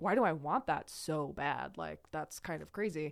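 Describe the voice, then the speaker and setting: In an American accent, a woman speaks fairly slowly with a very deep, low pitch, vocal fry and lively intonation. The recording is very clean, the background silent. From Idaho, US. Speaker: person in recovery from addiction. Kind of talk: casual interview conversation.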